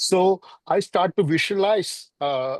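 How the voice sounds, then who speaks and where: A man with a Keralan accent speaks with lively intonation. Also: dry, close sound with no echo. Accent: Indian (Malayali) English. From India, Kerala. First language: Malayalam. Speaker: filmmaker. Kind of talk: interview. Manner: halting, many fillers.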